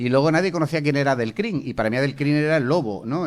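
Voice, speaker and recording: On a very clean recording with a silent background, this man races along at a very fast pace. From Seville, Spain. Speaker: journalist and former government spokesman. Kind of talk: interview. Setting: school venue with students. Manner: animated.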